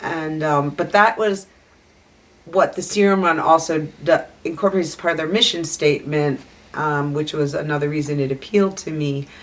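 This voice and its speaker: Her voice is very deep and low, with an American accent. The woman speaks at a moderate pace with ordinary pitch variation. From US Northeast, outside Philadelphia. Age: 60s. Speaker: sled dog musher. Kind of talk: interview. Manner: casual, hesitant with many ums.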